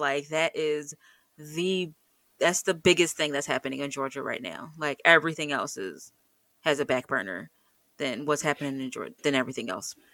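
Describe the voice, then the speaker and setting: A woman speaks with an American accent at a moderate pace, her very deep, low pitch paired with a bright, sharp tone and ordinary pitch variation. The recording is very clean, with a silent background. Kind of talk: casual chat. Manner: animated, playful.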